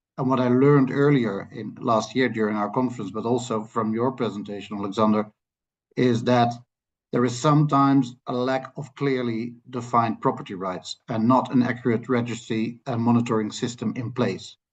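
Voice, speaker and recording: A man with a Dutch accent speaks at a moderate pace with fairly even intonation against a quiet background. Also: medium pitch for a man. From Netherlands. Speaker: land policy expert. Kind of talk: lecture. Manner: halting.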